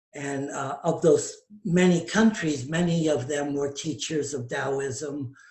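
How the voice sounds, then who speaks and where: A man's somewhat breathy, fairly high-pitched voice at a very slow pace, with fairly even intonation. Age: 70s. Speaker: tantra teacher. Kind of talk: casual chat.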